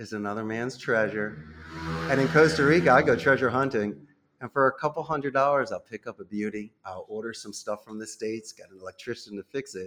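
A man with an American accent talks at a fairly quick pace and a medium pitch. His pitch varies in an ordinary way, while his loudness swings widely. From Northeast Philadelphia, US. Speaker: call center CEO. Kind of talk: interview.

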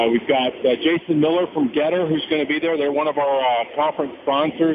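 Noticeable background noise sits under the voice. The intonation stays fairly even. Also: man. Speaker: conference organizer. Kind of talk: radio interview. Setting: phone call from a commuter train.

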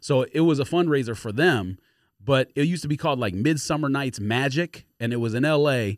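A man with an unremarkable speaking voice talks at a fairly quick pace, his pitch fairly high and its variation ordinary, in a very clean recording with a silent background and a dry, close sound with no echo. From Los Angeles. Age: 40s. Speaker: podcast co-host. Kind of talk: casual chat.

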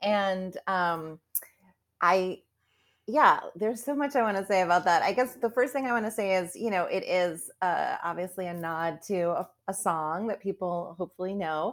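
On a very clean recording with a silent background, a woman with an unremarkable speaking voice talks at a moderate pace and medium pitch with ordinary pitch variation. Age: 50s. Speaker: author. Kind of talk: interview.

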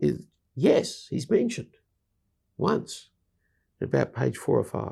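Long, frequent pauses break up a man's speech. His pace is very slow. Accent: Australian. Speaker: bible teacher and evangelist. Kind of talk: casual chat.

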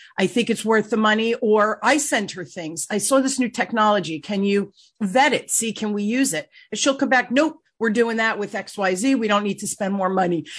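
A somewhat breathy woman speaks at a moderate pace against a quiet background. Her fairly high voice shows ordinary pitch variation. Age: 60s. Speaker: podcast host and sales coach. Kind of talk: interview, casual business chat.

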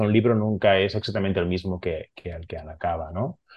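A man speaks with a Catalan accent at a fairly low pitch. His intonation stays fairly even. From Barcelona, Catalonia, Spain. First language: Catalan (speaking Spanish). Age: 40s. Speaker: comics artist. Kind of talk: interview.

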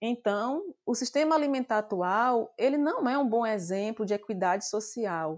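A woman's unremarkable speaking voice, fairly high in pitch with lively intonation, at a fairly slow pace with hardly any pauses. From Brazil, Bahia semi-arid interior. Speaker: nutrition professor. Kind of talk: interview.

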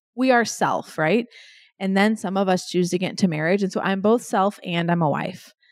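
Against a silent background in a very clean recording with a dry, close sound and no echo, a woman speaks in a normal speaking voice at a medium pitch and a moderate pace. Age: 40s. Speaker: business executive and keynote speaker. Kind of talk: interview.

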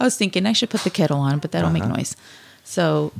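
A woman speaks at a very deep, low pitch. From Bolivia. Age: 30s. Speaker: stay-at-home mother. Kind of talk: casual chat.

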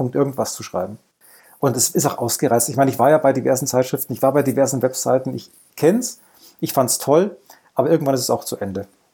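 Very fast yet broken by long, frequent pauses, a man's medium-pitched voice sounds dark, mellow and somewhat breathy, with ordinary pitch variation. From Lower Bavaria, Germany. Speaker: former games journalist, writer. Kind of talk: casual chat.

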